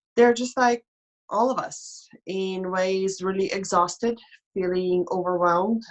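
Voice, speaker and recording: With a European accent, a woman speaks at a fairly slow pace. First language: non-English European language. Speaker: life coach and mentor. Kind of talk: casual interview chat. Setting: live online stream.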